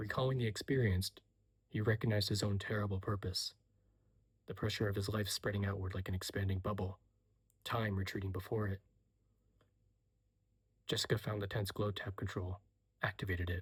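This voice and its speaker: A soft-spoken man talks at a fairly quick pace in a fairly low, somewhat breathy voice with monotone, flat intonation. He leaves long, frequent pauses. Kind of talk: soft-spoken audiobook reading of a novel excerpt. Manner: soft-spoken, quiet, ASMR-style.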